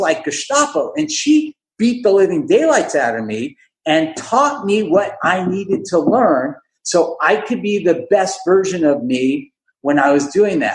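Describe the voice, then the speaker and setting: The voice moves at a moderate pace with an animated tone. Its pitch swings very widely. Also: man. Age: 60s. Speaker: dentist and entrepreneur. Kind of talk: podcast interview.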